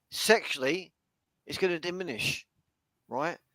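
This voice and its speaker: A man speaks in a bright, sharp tone. The sound is dry and close with no echo. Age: 40s. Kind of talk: casual chat. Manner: halting.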